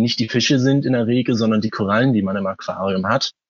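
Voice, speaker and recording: A man's voice at a medium pitch. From Hamburg, northern Germany. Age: 20s. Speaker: aquarium hobbyist. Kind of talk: interview. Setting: phone call.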